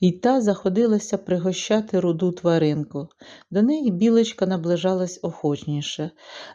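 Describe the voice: Simply plain reading aloud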